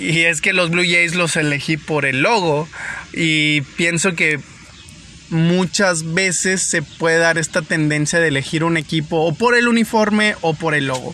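Over noticeable background noise, a man talks at a fairly slow pace and a high pitch, with ordinary pitch variation and very even loudness. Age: 30s. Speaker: baseball podcast host. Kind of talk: casual monologue. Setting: in a car. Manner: halting.

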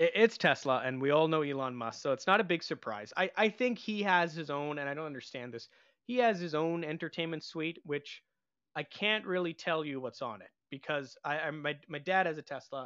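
A plain, everyday voice with a Canadian accent, a fairly quick pace and big swings in loudness, over a quiet background. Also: man, fairly high pitch for a man, lively intonation. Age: 30s. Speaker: satellite radio music programmer. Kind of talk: interview on local TV show.

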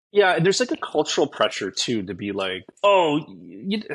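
Vocal fry runs through this voice, which moves at a moderate pace with very wide pitch swings. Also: man. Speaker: guest, social media creator. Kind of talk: casual interview chat.

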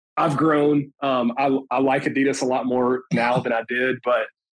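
A man speaks in an Alabama accent. His pitch sits at a medium level. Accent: US Southern (Alabama). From northern Alabama (Tuscumbia). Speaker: insurance business owner, former college football player. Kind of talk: interview, casual chat.

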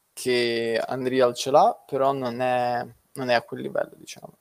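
A man's medium-pitched voice at a very slow pace. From Ukraine. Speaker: web developer. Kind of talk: casual chat.

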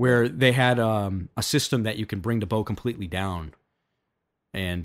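A man with a plain, everyday voice speaks at a moderate pace with ordinary pitch variation. The recording is very clean with a silent background. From French Canada. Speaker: archery podcast host. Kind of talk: casual chat.

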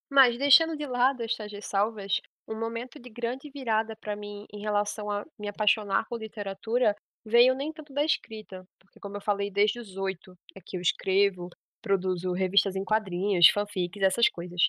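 A woman's fairly high-pitched voice with ordinary pitch variation, a bright, sharp tone, big swings in loudness, and a dry, close sound free of echo. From Pernambuco, Brazil. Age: 20s. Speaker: podcast host, literature student. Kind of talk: solo monologue podcast. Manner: fast.

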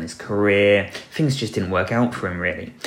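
The speaker has an English accent, lively intonation and a moderate pace. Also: man. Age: 40s. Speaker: podcast host. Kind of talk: solo commentary podcast. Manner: hesitant, with filler words.

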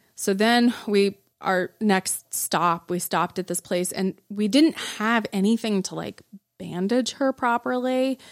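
A plain, everyday voice from a woman with an American accent, medium pitch and ordinary pitch variation, fairly slow, in a dry, close sound with no echo. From Arizona, Tucson. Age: 40s. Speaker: podcast guest. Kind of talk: casual chat. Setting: studio.

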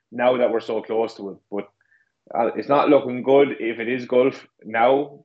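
Speaking with an Irish accent, a man holds a medium pitch in a monotone, flat intonation. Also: fairly slow pace. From Ireland. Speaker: co-host. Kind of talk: casual podcast chat. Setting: video call from Ireland, late evening.

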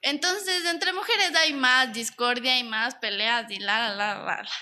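A raised, projected voice with a bright, sharp tone swings very widely in pitch. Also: woman. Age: 20s. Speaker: product designer, former beauty pageant queen. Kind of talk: casual chat.

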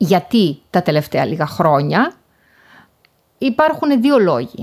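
A woman speaks very slowly in a fairly high voice with vocal fry. Her pitch swings very widely. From Greece, Thessaloniki area. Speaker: professor. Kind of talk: interview. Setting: remote call.

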